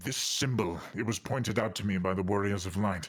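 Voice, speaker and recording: Using a put-on character voice, a man talks fairly quickly at a fairly low pitch. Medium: actual play. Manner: measured, grave.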